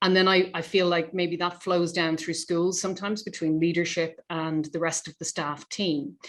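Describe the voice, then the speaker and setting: A woman with a fairly low pitch speaks at a moderate pace in a monotone, flat intonation, with hardly any pauses. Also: quiet background. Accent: Irish. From Ireland. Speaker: charity representative, interviewer. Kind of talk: webinar discussion.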